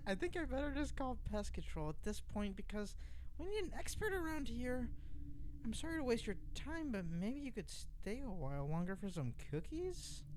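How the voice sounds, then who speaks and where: A man in a put-on character voice at a moderate pace, with clear background noise. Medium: read story.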